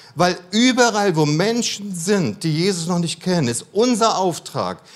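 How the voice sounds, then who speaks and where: This man's voice sits high in pitch. He speaks at a fairly slow pace. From Germany, mixed (Cologne, Berlin, Baden-Württemberg). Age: 50s. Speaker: missionary speaker. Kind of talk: sermon. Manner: calmer, less dynamic.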